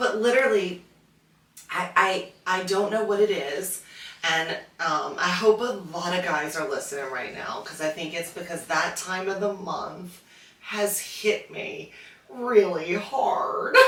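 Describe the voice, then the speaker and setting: Amid noticeable background noise and audible room echo, a woman at medium pitch speaks fairly slowly with ordinary pitch variation. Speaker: podcast co-host. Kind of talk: casual chat.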